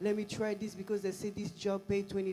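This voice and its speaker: Fairly quick speech in a French accent. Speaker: pastor. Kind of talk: casual chat. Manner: halting.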